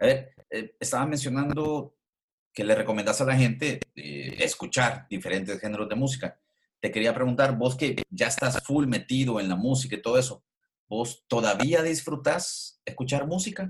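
This man speaks in a Salvadoran accent, somewhat breathy, with ordinary pitch variation. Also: medium pitch for a man, moderate pace. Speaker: podcast host. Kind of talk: casual interview.

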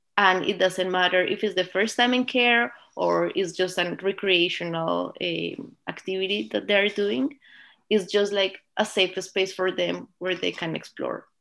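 This woman talks at a fairly slow pace in a Spanish accent, her pitch medium with ordinary variation. The background is quiet. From Colombia. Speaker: early learning educator and program co-owner. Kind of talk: interview. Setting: video call.

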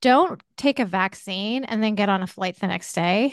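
In a dry, close sound with no echo and a quiet background, a woman with an ordinary speaking voice talks at a moderate pace, her pitch fairly high and her intonation lively. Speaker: podcast host and former caregiver. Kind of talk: interview.

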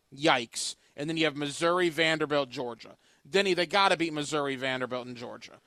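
On a very clean recording with a silent background, a normal speaking voice shows ordinary pitch variation. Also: man. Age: 30s. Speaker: sports radio host. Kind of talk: casual sports talk.

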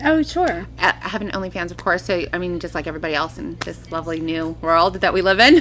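Speaking very fast with an American accent, this voice barely pauses over noticeable background noise. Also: woman. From California. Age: 30s. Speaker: former adult film performer, wellness entrepreneur. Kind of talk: casual chat.

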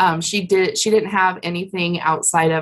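Fairly low-pitched female voice with an American accent, moderate pace and fairly even intonation. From Colorado. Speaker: insurance broker. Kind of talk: interview. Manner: hesitant, with fillers.

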